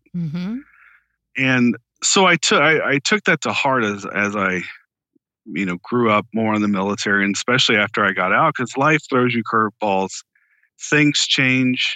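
With lively intonation and a moderate pace, this man has an unremarkable speaking voice. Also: medium pitch for a man. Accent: American. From Florida, Tampa. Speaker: author and former intelligence officer. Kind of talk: interview.

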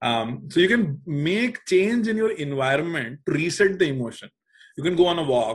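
A man speaks with a high pitch and very wide swings in it. His pace is moderate. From India, Uttar Pradesh. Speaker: startup co-founder. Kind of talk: casual chat.

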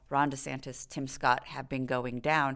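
A woman with an American accent in a very clean recording with a silent background. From Texas. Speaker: dean of a public service school. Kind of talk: interview.

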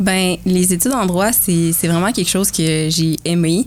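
A plain, everyday voice carries fairly even intonation. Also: woman. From Quebec, Bois-Francs region. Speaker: university athlete and medical student. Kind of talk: casual interview.

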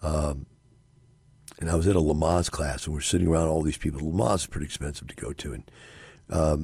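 With a very deep, low pitch and vocal fry, a man speaks at a fairly quick pace. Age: 60s. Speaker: radio host and real estate investor. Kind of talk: radio monologue.

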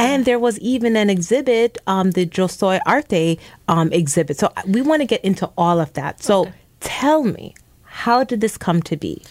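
With a normal speaking voice and medium pitch, a woman talks at a moderate pace with lively intonation in a very clean recording with a silent background. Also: dry, close sound with no echo. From immigrant to the US, came at age two. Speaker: radio host. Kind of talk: radio interview. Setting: radio studio.

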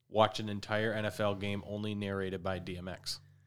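On a very clean recording with a silent background, a man with an American accent speaks at a moderate pace and a fairly low pitch. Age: 20s. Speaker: sports podcast co-host. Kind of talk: casual chat.

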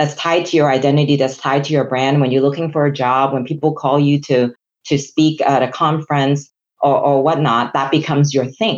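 In a Chinese accent, a woman speaks at a fairly quick pace with a very deep, low pitch. Her intonation is monotone and flat, and her loudness stays very even. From Hong Kong. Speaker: chief human resources officer. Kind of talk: professional interview conversation.

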